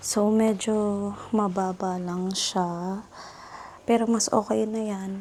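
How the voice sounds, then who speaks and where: Fairly even intonation from a woman, her voice somewhat breathy. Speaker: lifestyle vlogger. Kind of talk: casual vlog narration.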